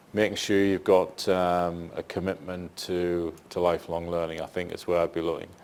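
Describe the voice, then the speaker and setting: Against a silent background in a very clean recording, a man with a northeast English accent speaks at a moderate pace. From northeast England. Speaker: senior public servant. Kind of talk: panel Q&A discussion.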